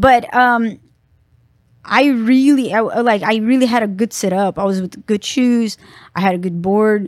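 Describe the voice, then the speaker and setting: A woman's fairly high voice with a Brazilian accent, ordinary pitch variation and moderate pace, on a very clean recording with a silent background. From Brazil, Sao Paulo. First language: Portuguese. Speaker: professional skateboarder. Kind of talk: casual interview.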